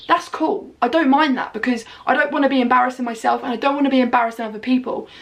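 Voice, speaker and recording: A loud, animated woman at a very fast pace, high in pitch with ordinary variation, over noticeable background noise. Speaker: vlogger. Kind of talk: casual chat.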